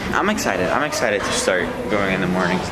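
Very fast speech from a man, with clear music in the background. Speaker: fitness vlogger. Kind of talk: casual vlog chat. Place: gym. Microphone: phone near.

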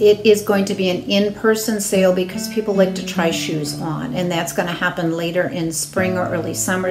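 A woman at a moderate pace with fairly even intonation, over clear music in the background. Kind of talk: announcement to congregation. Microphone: phone near.

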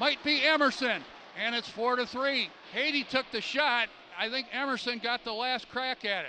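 A man speaks at an extremely high pitch and a moderate pace, with fairly even intonation. The sound is dry with no echo, with light background noise. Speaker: hockey play-by-play announcer. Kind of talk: live sports commentary, play-by-play of a hockey game. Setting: arena press box, live game. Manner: fluent, clipped play-by-play with calm filler between goals. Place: stadium. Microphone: headset.

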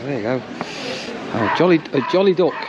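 Over clear background noise, the speaker moves at a fairly quick pace with lively intonation. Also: man, fairly high pitch for a man.

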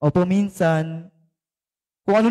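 His speech comes at an even, medium speed. The audio is close-miked and dry, free of any echo. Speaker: preacher. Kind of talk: sermon with fervent proclamation prayer and blessing. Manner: fervent, emphatic, rising intensity with repeated amens; code-switching between Tagalog and English.

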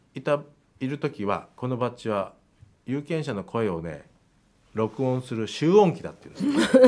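Very wide pitch swings mark a man's speech, delivered at a moderate pace. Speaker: politician. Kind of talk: casual interview chat. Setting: studio. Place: studio. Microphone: studio mic.

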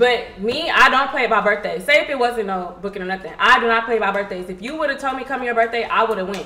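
Over noticeable background noise, a woman with an American accent speaks very fast, her fairly high pitch carried by lively intonation. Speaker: influencer. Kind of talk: casual chat. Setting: livestream.

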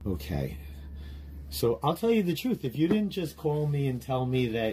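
Dark, mellow tone from a man, somewhat breathy. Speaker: livestreamer. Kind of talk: casual livestream chat. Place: home room.

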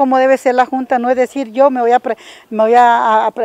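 The sound is dry and free of echo. A woman's voice moves at a moderate pace. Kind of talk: interview answer. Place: street. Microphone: handheld.

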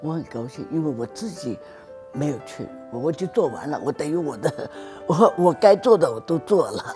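Clear music plays in the background. Over it, a woman speaks at a moderate pace. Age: 70s. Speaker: calligraphy artist. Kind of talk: interview answer. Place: garden. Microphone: lapel.

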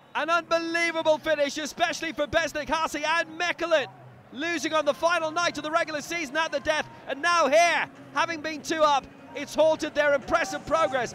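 Raised and projected, a man's extremely high voice runs at a fairly quick pace in monotone, flat intonation. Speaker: football commentator. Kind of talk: live football commentary over match highlights. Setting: studio voiceover over recorded match footage. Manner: punchy, rising intensity on goals.

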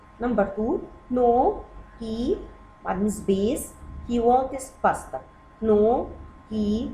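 A woman speaks at a fairly high pitch. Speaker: English teacher for kids. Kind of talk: lesson. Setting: video lesson.

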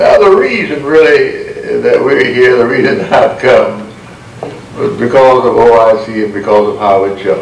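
Audible room echo and light background noise surround the recording. A man speaks at a moderate pace. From United States. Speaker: Baptist minister. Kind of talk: speech to an audience. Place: hall. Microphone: podium.

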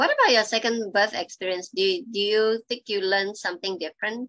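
Her tone bright and sharp, a woman talks at a fairly quick pace with ordinary pitch variation. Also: quiet background. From Malaysia. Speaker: hypnobirthing educator and support group host; session host. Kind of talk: online support group session. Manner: hesitant, many fillers. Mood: calm, warm. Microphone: video call.

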